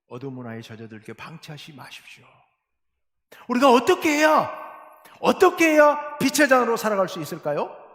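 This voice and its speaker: A man's high voice moves along at a moderate pace. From South Jeolla, Korea (Beolgyo/Suncheon). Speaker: pastor. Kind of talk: sermon. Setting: church. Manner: formal.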